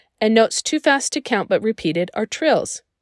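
In a very clean recording with a silent background and a dry, close sound with no echo, a woman uses an ordinary speaking voice with an American accent, fairly high pitch and lively intonation. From Utah. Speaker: podcast host. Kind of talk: scripted narration.

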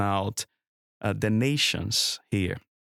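A man with a Brazilian accent speaks at a very slow pace with a fairly low pitch and fairly even intonation, in a very clean recording with a silent background and a dry, close sound with no echo. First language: Portuguese. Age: 40s. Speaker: church planter. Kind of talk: interview.

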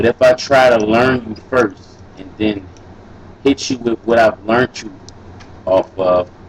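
With an American accent, a man talks with ordinary pitch variation in a dry, close sound with no echo, over noticeable background noise. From US South, New Orleans. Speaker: rapper. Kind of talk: casual chat. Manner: animated.

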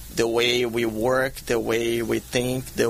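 A man at medium pitch with monotone, flat intonation, amid noticeable background noise. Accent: Portuguese. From Brazil. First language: Portuguese. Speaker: martial arts champion and gym co-founder. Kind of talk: interview. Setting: studio.

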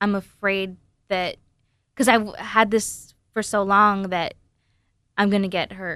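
Woman at a medium pitch, on a very clean recording with a silent background. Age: 20s. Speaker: comedian.

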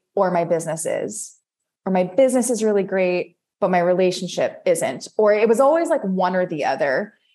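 A woman with an unremarkable speaking voice and a medium pitch speaks at a moderate pace against a quiet background. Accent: American. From US East Coast. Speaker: embodiment and success coach, former professional dancer. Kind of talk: casual interview chat.

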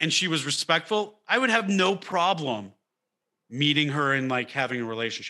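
This man talks with an American accent at a moderate pace, his pitch fairly high. His tone is bright and sharp, with very wide pitch swings. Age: 30s. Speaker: comedian. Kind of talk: casual chat. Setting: video call.

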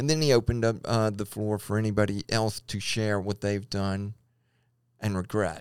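A man with a Louisiana accent, fairly low pitch and fairly even intonation, in a very clean recording against a silent background. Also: moderate pace. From Louisiana, Baton Rouge. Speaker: engineer sharing personal transgender faith story. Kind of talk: personal testimony in interview. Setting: studio, in person.

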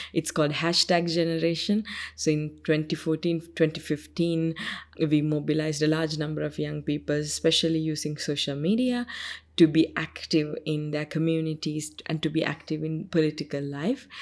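On a very clean recording with a silent background, a woman with a Sri Lankan accent speaks at a very deep, low pitch with fairly even intonation. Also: moderate pace. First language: Sinhalese. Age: 20s. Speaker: UN youth envoy. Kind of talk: interview. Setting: studio.

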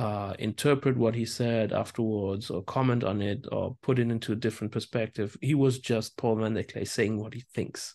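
With a German accent, a man speaks at a medium pitch and moderate pace, using ordinary pitch variation against a quiet background. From Germany. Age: 40s. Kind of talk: casual chat.

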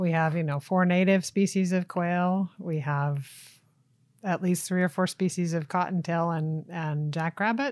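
Speaking in a plain, everyday voice with an American accent, a woman talks at a fairly low pitch with fairly even intonation, in a very clean recording with a silent background. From US South (Tennessee and Florida). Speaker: wildlife agency small game program manager. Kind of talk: casual interview.

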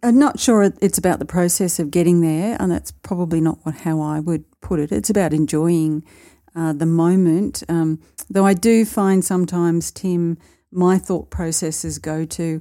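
A dark, mellow tone with ordinary pitch variation comes at a moderate pace in a very clean recording with a silent background. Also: woman. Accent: Australian. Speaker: podcast co-host. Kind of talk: casual chat.

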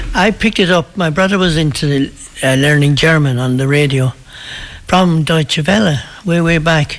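A man speaks at a moderate pace and a fairly high pitch. His loudness stays very even, and his pitch varies in an ordinary way. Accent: Irish. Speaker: local priest. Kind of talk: casual interview.

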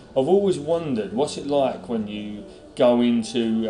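A man with a British accent at a medium pitch and moderate pace, with audible room echo and noticeable background noise. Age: 20s. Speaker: podcast host. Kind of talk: interview. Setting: hotel in London.

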